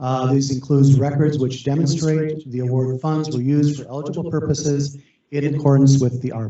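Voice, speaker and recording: A man's monotone, flat delivery at a fairly quick pace, with audible room echo. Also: fairly high pitch for a man. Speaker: county official presenting federal funding rules. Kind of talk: presentation. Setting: video conference meeting. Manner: fast.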